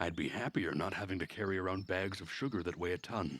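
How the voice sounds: At a moderate pace, a man speaks in a low pitch with a slightly husky edge.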